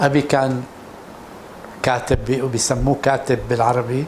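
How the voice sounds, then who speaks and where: A man speaks fairly slowly at a medium pitch. Background noise is noticeable. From Syria, Damascus. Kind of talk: personal testimony interview. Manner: halting, with repeated false starts.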